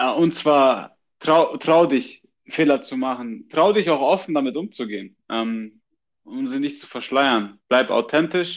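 A man speaks at a fairly slow pace with a fairly high pitch. His loudness swings widely. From Bavaria, Munich. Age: 20s. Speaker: emigrant interviewee. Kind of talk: casual interview. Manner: hesitant with fillers and repetitions.

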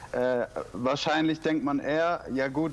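A man talks at a very slow pace. His pitch sits fairly high. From Stuttgart, southwest Germany. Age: 20s. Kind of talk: casual interview. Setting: Skype call.

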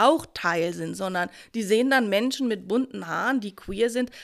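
A woman with an ordinary speaking voice and a fairly high pitch speaks with lively intonation on a very clean recording with a silent background. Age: middle-aged. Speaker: university vice president. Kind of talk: panel discussion.

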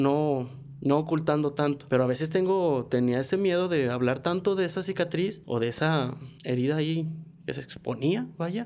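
A man speaks with a fairly high pitch, ordinary pitch variation, and a dark, mellow tone. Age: 20s. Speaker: podcast co-host. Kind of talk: personal testimony; casual chat.

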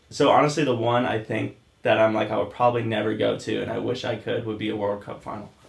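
Noticeable background noise accompanies a man talking very fast. He has an American accent. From Oregon. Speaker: podcast co-host. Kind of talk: casual chat.

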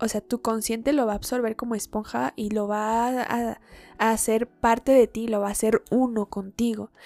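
A quiet woman's voice, fairly high in pitch with a dark, mellow tone, monotone and flat in intonation, at a moderate pace, in a dry, close sound with no echo and a very clean recording with a silent background. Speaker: podcaster and tarot reader. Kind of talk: casual monologue. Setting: at home. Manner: quiet, recorded at low volume. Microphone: recorded too quietly.

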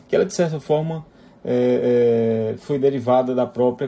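A man speaks at a medium pitch with ordinary pitch variation. His tone is dark and mellow. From Fortaleza, Ceará, northeastern Brazil. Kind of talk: interview.

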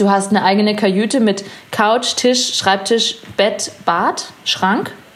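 Speaking very slowly, a woman uses a medium pitch with ordinary variation. Noticeable background noise is present. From Bavaria, Munich and Chiemsee area. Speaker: artist. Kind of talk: casual chat.

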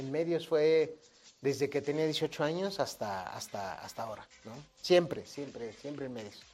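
In an ordinary speaking voice, a man with a fairly high pitch speaks at a fairly slow pace, his intonation lively and his loudness swinging widely. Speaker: radio and TV news anchor. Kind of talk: casual interview.

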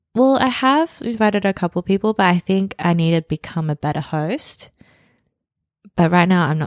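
A fairly low-pitched woman's voice in an Australian accent, lively in intonation, at a moderate pace, in a very clean recording with a silent background. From Sydney, Australia. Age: 30s. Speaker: podcast co-host. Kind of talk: casual chat.

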